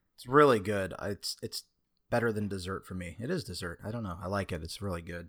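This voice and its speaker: Very fast and fairly low in pitch, a man talks with ordinary pitch variation and big swings in loudness. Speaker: podcast co-host. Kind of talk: casual chat. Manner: casual, profane, talkative; tends to speak fast, working on filler words.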